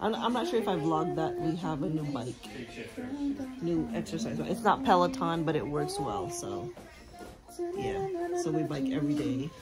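A woman with long, frequent pauses over loud background music. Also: moderate pace. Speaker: family vlogger. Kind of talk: casual vlog chat. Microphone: phone near.

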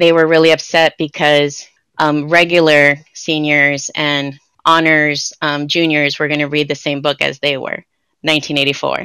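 In a very deep, low voice, a woman with an American accent speaks at a moderate pace with monotone, flat intonation and a bright, sharp tone. The sound is dry with no echo against a quiet background. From Santa Ana, Orange County, California; California. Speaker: writer and theater producer; podcast guest. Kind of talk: interview conversation. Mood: warm, reflective, smiling. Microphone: video call.

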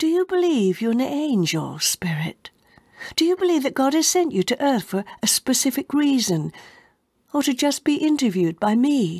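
A woman's high, theatrical, calm voice with very wide pitch swings and very even loudness against a quiet background. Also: moderate pace. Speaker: audiobook narrator. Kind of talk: dramatic audiobook narration, dialogue read in solemn character voices. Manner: formal, old-fashioned phrasing delivered with reverent, theatrical pacing.

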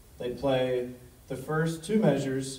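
A man speaks with ordinary pitch variation. Audible room echo surrounds his voice. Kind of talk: lecture. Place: hall. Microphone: pa.

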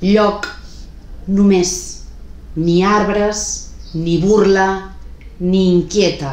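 A woman speaks at a very slow pace. Audible room echo surrounds the voice. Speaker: poet reading her own work. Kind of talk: poetry reading, spoken word. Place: home room. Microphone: phone near.

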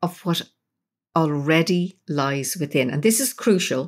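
Speaking at a fairly slow pace, a woman uses a fairly low pitch and a Dublin accent. The recording is very clean, with a silent background. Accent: Irish (Dublin). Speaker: psychotherapist and spiritual teacher. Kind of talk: interview.

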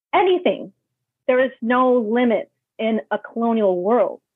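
A fairly high-pitched woman with a New York accent, speaking at a fairly slow pace. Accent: New York American English. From New York City (Brooklyn, Queens). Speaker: travel writer. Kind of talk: interview conversation.

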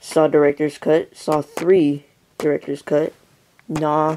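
A quiet man's voice, fairly high in pitch, at a very slow pace over light background noise. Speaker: horror movie reviewer YouTuber; vlogger. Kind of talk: unboxing video, casual. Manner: quiet, hushed. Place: home room. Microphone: phone near.

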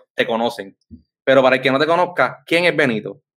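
The background stays quiet around a man's voice. His pitch varies in an ordinary way. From Puerto Rico. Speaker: podcast host. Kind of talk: casual interview. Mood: warm, friendly. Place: home room. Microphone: studio mic.

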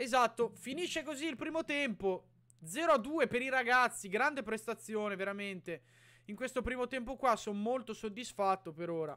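The man projects a raised voice with a bright, sharp tone. His pitch runs high and his intonation is lively. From Italy. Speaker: YouTuber reacting to matches as a fan. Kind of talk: live sports commentary. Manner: animated, excitable, rapid-fire play-by-play with shouting and repeated names; emotional fan, exclaiming and pleading. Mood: excited, partisan. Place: home room. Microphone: studio mic.

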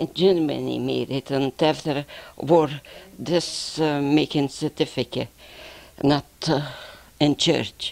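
A woman with a Lithuanian accent, very deep and low in pitch, with vocal fry, monotone, flat intonation, a very slow pace and long, frequent pauses. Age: 70s. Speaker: postwar immigrant. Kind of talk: interview. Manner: halting. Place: office. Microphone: handheld.

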